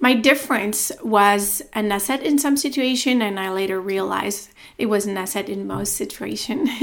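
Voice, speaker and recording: In an American accent, a woman speaks at a moderate pace with medium pitch, ordinary pitch variation and vocal fry. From France. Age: 30s. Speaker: podcast host, tech sales professional. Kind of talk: solo podcast monologue, introduction.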